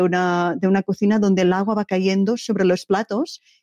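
A woman with a medium-pitched voice talks at a moderate pace, her intonation fairly even. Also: dry, close sound with no echo. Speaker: poet. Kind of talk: interview answers. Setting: interview. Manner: halting, hesitant.

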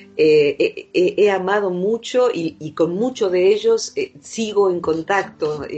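A woman with an Argentine Rioplatense accent and medium pitch, at a very slow pace, with music in the background. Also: ordinary pitch variation. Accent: Rioplatense Argentine Spanish with voseo. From Argentina, Buenos Aires. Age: 50s. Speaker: psychologist. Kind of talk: interview.

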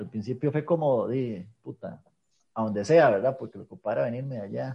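A man with a Costa Rican accent talks at a moderate pace in a medium pitch. His dark, mellow tone is somewhat breathy, with lively intonation. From Costa Rica, rural north and south. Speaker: podcast host. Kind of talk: casual chat.

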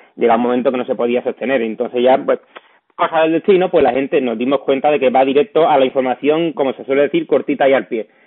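Here a man talks at a very fast pace. His voice is medium in pitch, with ordinary pitch variation. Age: 30s. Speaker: podcast host. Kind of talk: interview.

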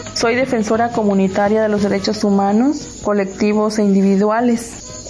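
A woman with a fairly high pitch speaks at a moderate pace in a monotone, flat intonation. Music plays in the background, and room echo is audible. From Mexico, Oaxaca coast. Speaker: community land defender. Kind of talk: radio interview.

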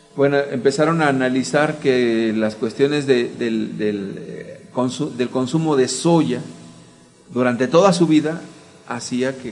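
Music plays in the background while a man speaks at a fairly slow pace. His pitch is medium, with ordinary variation. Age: 40s. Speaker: church teacher. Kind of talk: teaching talk.

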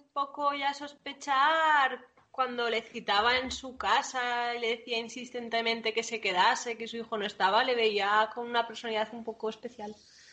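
A woman speaks fairly slowly at a high pitch, her loudness swinging widely. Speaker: podcast co-host. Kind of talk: casual chat.

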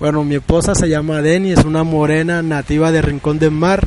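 There is noticeable background noise. A man talks at a fairly high pitch. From Colombian Caribbean coast, Sincelejo. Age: 40s. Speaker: artisan and fisherman. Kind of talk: interview testimony.

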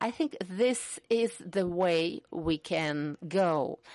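A woman's medium-pitched voice at a very slow pace, with ordinary pitch variation, dry close sound without echo, and a quiet background. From Russia. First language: Russian. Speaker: human rights activist. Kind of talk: panel discussion.

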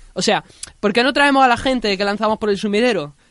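Ordinary variation runs through her pitch. The voice belongs to a woman. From Andalusia. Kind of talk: scripted narration.

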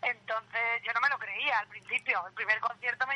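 A woman's high-pitched voice sounds bright and sharp, flat and monotone in intonation, in a dry, close recording with no echo. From Albacete, Spain. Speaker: band singer. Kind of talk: interview.

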